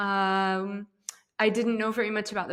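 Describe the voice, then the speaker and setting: An ordinary speaking voice from a woman with an American accent, medium pitch, fairly even intonation and a moderate pace. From US, Ohio. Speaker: startup co-founder and CEO. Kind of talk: interview. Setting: podcast interview.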